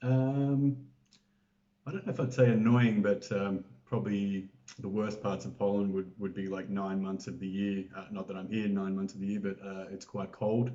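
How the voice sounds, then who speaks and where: His pitch is fairly low. The man speaks with an Australian accent. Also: ordinary pitch variation, moderate pace. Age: 40s. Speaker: interview guest. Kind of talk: casual interview. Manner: hesitant, many fillers.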